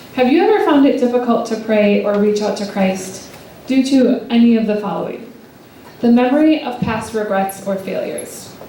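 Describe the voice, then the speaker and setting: At a moderate pace, a woman with a fairly high pitch and ordinary pitch variation speaks amid noticeable background noise and audible room echo. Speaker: speaker at a church retreat. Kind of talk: talk to a live audience. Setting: hall with live audience, handheld mic.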